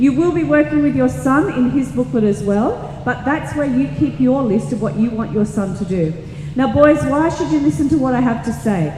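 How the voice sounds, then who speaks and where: A woman's medium-pitched voice with an Australian accent and very wide pitch swings, amid audible room echo and noticeable background noise. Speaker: teacher. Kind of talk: presentation to parents and students. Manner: fast.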